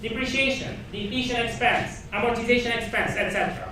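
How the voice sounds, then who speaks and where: The speaker uses a raised, projected voice at a fairly slow pace. Audible room echo and noticeable background noise are present. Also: man. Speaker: accounting professor. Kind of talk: lecture. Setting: classroom with students.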